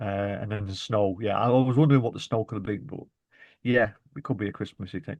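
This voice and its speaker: Over a quiet background, a man with a Lancashire accent speaks at a very fast pace with a fairly low pitch and ordinary pitch variation. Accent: Bolton. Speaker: podcast co-host. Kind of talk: casual chat.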